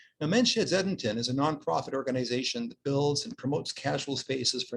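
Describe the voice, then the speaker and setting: A man with a Canadian accent speaks at a medium pitch, his somewhat breathy voice carrying lively intonation. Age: 60s. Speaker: social worker. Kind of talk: conference talk.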